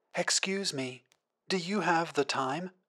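In a put-on character voice, the speaker sounds raspy at a middle pitch and moves at a fairly slow pace. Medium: audio drama. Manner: polite, dutiful.

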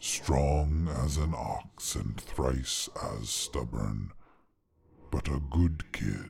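A man puts on a character voice with extremely low pitch, vocal fry and a slightly mellow tone. His intonation is lively and his pace very slow.

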